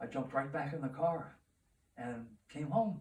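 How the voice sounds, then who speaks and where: Somewhat breathy speech at a fairly slow pace, with ordinary pitch variation. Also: man. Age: 80s+. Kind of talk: interview answer. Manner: humorous storytelling.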